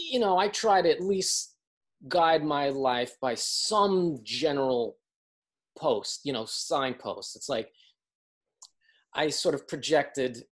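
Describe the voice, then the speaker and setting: The background stays quiet. Against it, a man talks with lively intonation. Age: 50s. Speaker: street artist and performer. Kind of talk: casual interview. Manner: halting.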